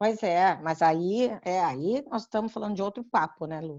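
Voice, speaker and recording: A woman with a dark, mellow tone makes very wide pitch swings against a quiet background. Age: 60s. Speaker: community council member. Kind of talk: informative panel discussion.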